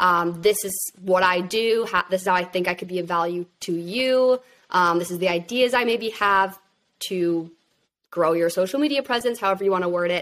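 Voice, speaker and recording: A woman with a plain, everyday voice talks at a moderate pace in a medium pitch with ordinary pitch variation. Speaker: social media manager and content creator. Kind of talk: interview.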